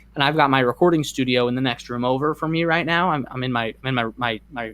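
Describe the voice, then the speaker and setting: A man at medium pitch, very fast pace, ordinary pitch variation. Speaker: YouTuber. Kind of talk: casual chat. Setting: bedroom.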